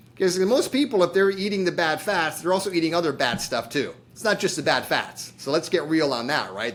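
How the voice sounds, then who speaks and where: At a moderate pace, a man talks in an ordinary speaking voice with a fairly high pitch. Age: 60s. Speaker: chiropractor and diabetes program founder. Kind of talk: podcast interview. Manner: casual.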